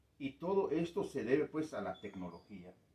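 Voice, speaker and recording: Dark, mellow male speech with very wide swings in pitch. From Guatemala, K'iche' Maya community. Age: 60s. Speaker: community elder. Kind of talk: interview. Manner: hesitant, many fillers.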